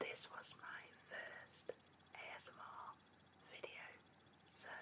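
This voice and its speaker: Whispering, a woman speaks at a very slow pace. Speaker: ASMR artist. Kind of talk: ASMR whisper video. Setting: home recording at night with basic microphone. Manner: whispered, soft-spoken. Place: home room. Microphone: webcam.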